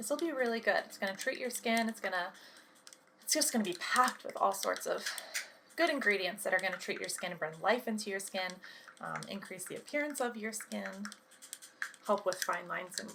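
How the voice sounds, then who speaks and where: Soft-spoken and gentle in tone, a woman with a fairly high pitch uses lively intonation and big swings in loudness against noticeable background noise. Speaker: cosmetics consultant (ASMR roleplay). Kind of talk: ASMR roleplay consultation with personal attention. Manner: soft-spoken, gentle.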